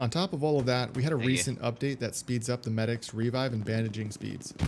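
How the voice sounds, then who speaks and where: Noticeable background noise is audible in this clip. A man speaks fairly quickly over it. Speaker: gaming YouTuber. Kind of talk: gameplay commentary voice-over. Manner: trying to sound less monotonous.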